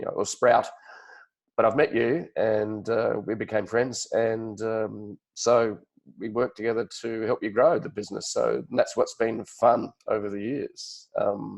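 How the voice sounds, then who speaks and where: A man at a fairly slow pace with an Australian accent. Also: quiet background. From Australia, Sydney. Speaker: podcast host. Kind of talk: interview.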